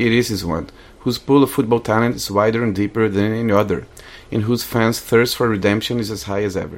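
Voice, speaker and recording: In a Portuguese accent, a man talks at a very fast pace. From Brazil, Rio de Janeiro. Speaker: guest. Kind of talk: scripted narration; casual chat. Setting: studio.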